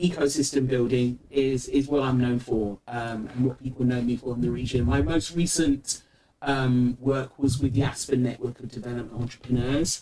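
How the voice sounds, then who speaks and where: A man with a British accent talks with hardly any pauses. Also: medium pitch for a man, ordinary pitch variation, moderate pace. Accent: UK. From UK, Nigerian diaspora (London area). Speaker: entrepreneurship ecosystem builder. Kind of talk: interview conversation.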